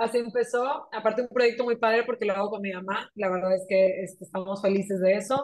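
A woman with an unremarkable speaking voice talks at a fairly quick pace. Her medium pitch carries fairly even intonation. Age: 30s. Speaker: entrepreneur and mother. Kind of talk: casual conversational interview.

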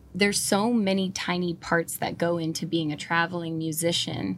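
With an American accent, a woman uses a normal speaking voice at a fairly low pitch and a moderate pace. Her intonation is fairly even, and the recording is very clean with a silent background. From northern California. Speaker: country musician and tattoo artist. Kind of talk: casual chat. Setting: in a van.

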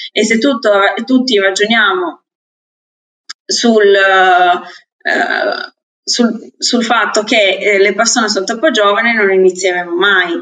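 This woman speaks very slowly with a fairly high pitch, lively intonation, very even loudness, and long, frequent pauses. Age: 20s. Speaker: podcast co-host. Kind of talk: casual chat.

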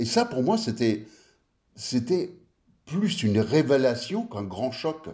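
A man speaks at a very slow pace with long, frequent pauses and very wide pitch swings. His tone is dark and mellow, and somewhat breathy. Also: medium pitch for a man. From France (western Paris suburbs), early childhood in US. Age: 50s. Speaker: designer. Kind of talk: casual chat.

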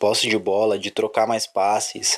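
Against noticeable background noise, a man at medium pitch talks at a fairly slow pace. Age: 20s. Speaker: football fan podcaster. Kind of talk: solo sports commentary podcast. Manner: casual, with hesitations.

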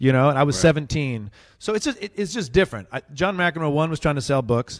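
A man with an unremarkable speaking voice talks at a fairly quick pace with lively intonation, in a dry, close sound with no echo on a very clean recording with a silent background. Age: 30s. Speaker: comedian. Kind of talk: casual chat.

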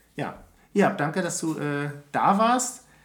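A man at a very slow pace with very wide pitch swings, plus audible room echo and noticeable background noise. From Berlin, Germany. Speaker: podcast co-host. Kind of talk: casual chat.

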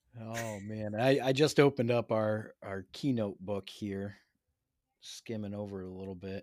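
Speaking fairly slowly in an ordinary speaking voice, a man keeps a fairly low pitch with ordinary pitch variation. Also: big swings in loudness, very clean recording, silent background. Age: 30s. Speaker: podcast host, educator. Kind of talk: casual interview.

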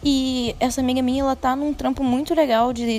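The voice sits high in pitch. It belongs to a woman. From Brazil, mainly Rio de Janeiro. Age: 20s. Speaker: podcaster. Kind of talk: casual monologue. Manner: occasional stammering.

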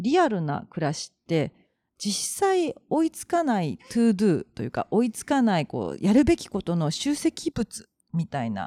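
In a very clean recording with a silent background, a woman talks at a moderate pace with a medium pitch and a dark, mellow tone. Her pitch swings very widely and her loudness swings a lot, in a dry, close sound with no echo. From Japan, Kobe (Kansai). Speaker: podcast co-host, share house owner. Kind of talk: casual chat.

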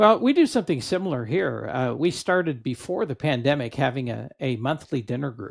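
Talking at a fairly quick pace with hardly any pauses, a man uses lively intonation and a fairly high pitch, with vocal fry. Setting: video call with headset.

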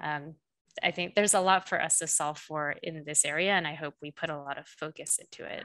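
This woman has a very deep, low pitch, fairly even intonation and big swings in loudness, talking at a fairly quick pace over a quiet background. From South Korea. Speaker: AI director and machine learning specialist. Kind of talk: interview. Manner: hesitant fillers.

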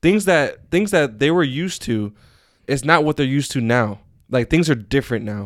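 At a moderate pace, the speaker uses an ordinary speaking voice with lively intonation on a very clean recording with a silent background. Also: man, fairly high pitch for a man. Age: 20s. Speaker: podcast host. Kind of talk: casual chat.

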